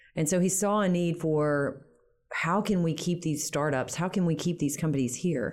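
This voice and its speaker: An unremarkable speaking voice from a woman, fairly low in pitch with ordinary variation, at a moderate pace and very even loudness. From US South, Shreveport, Louisiana. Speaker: startup accelerator financial analyst. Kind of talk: casual interview. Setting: studio.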